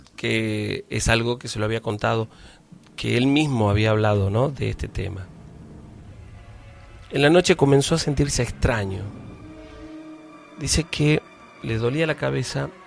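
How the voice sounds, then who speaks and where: With music in the background, a man speaks fairly slowly at a medium pitch, his voice making very wide pitch swings. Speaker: radio host. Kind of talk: radio horror story narration.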